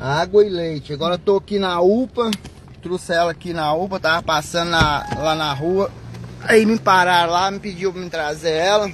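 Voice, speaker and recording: A man talks at a high pitch and a moderate pace, his intonation fairly even. The sound is dry with no echo, over light background noise. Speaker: taxi driver. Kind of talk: live video appeal for help. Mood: earnest, urgent appeal.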